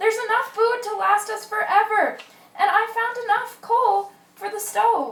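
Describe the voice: A woman's put-on character voice, extremely high-pitched and fairly bright in tone, with fairly even intonation, a fairly slow pace and audible room echo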